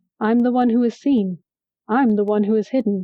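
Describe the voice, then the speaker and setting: A woman puts on a character voice, fairly high in pitch, with fairly even intonation. She keeps a moderate pace and a very even loudness. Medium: read story. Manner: mocking, taunting.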